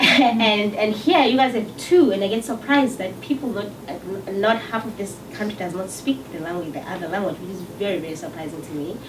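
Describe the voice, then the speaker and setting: A woman with a South African accent talks fairly quickly at medium pitch, her loudness swinging widely amid noticeable background noise and audible room echo. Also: lively intonation. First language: Xhosa. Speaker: singer-songwriter. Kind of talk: interview. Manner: halting.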